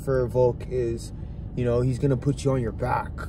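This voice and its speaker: Speaking at a fairly slow pace, a man sounds dry with no echo over light background noise. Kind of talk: casual sports commentary chat. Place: car. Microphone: phone near.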